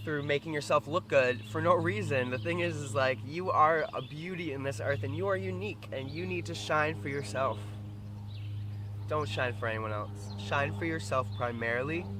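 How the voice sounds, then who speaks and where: Lively intonation carries through speech at a moderate pace. Noticeable background noise and audible room echo surround it. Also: man. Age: 20s. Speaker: vlogger. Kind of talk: casual vlog monologue. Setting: outdoors by the water. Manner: loud; halting, repetitive.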